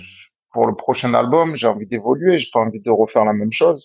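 An ordinary speaking voice from a man, medium in pitch, with lively intonation. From Marseille, southern France. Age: 30s. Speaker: rapper. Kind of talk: casual interview chat.

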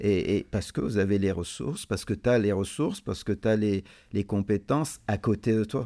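The recording is very clean, with a silent background. A man talks at a moderate pace in a fairly low pitch, his tone dark and mellow. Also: ordinary pitch variation. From Lebanon. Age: 50s. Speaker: business owner. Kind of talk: interview.

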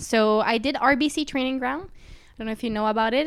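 On a very clean recording with a silent background, a woman has an unremarkable speaking voice, with ordinary pitch variation and a moderate pace. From Quebec, Canada (Sherbrooke). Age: 20s. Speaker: aerial skier and engineering student. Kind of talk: interview, casual chat.

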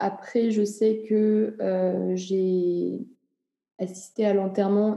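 A woman at medium pitch speaks in a monotone with flat intonation, and audible room echo can be heard. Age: 20s. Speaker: interviewee sharing views on death. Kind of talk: interview testimony.

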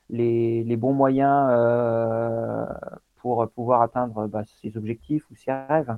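Very slow and monotone, a man talks in flat intonation at medium pitch. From Normandy, France. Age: 40s. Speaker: elite endurance athlete. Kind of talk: long-form interview. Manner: halting, many repetitions and fillers.

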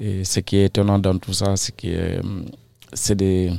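On a very clean recording with a silent background, a man with a very deep, low pitch talks at a fairly slow pace. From Senegal, Casamance. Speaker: migrant and painter. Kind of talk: interview. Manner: halting. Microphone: too quiet at first.

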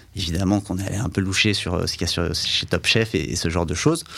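In a very clean recording with a silent background, a normal speaking voice moves at a fairly quick pace. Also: man. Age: 30s. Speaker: advertising agency executive. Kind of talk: interview.

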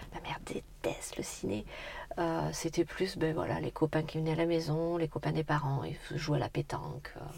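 A woman talks at a moderate pace as noticeable background noise carries on behind her. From France, Corrèze (Brive area). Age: 30s. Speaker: entrepreneur. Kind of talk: interview. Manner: energetic.

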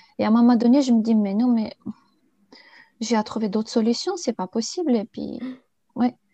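A woman with a Bulgarian accent speaks at a moderate pace with long, frequent pauses, her fairly high voice dark and mellow in tone, with ordinary pitch variation and a dry, close sound with no echo. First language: Bulgarian (speaking French). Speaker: interview guest sharing life story. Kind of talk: personal testimony interview.

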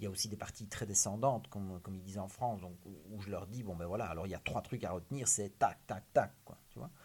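A man's fairly low voice in a Liège accent, with fairly even intonation. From Belgium, Liège. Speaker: criminologist, author and public speaker. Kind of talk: interview.

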